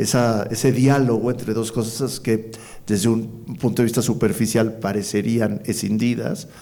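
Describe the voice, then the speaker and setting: The voice has a dark, mellow tone with vocal fry. It moves at a fairly slow pace with fairly even intonation. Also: man, medium pitch for a man. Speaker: poet and executive coordinator of a cultural institution, interviewer. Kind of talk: interview conversation, thoughtful and hesitant delivery.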